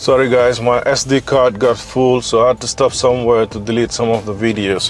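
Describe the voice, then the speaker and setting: A man speaks with music in the background. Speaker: fitness coach and vlogger. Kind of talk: casual vlog monologue. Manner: unscripted, conversational.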